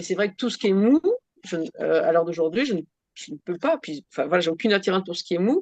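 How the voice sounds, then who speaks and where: At a very fast pace, a woman speaks with lively intonation at a medium pitch. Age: 60s. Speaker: workshop participant. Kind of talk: casual chat. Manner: halting.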